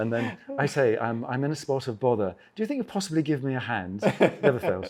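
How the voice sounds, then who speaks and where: Speaking with an English accent, a man talks at a very fast pace. His medium pitch makes very wide swings. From England. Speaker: travel author and adventure motorcyclist. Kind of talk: casual interview chat.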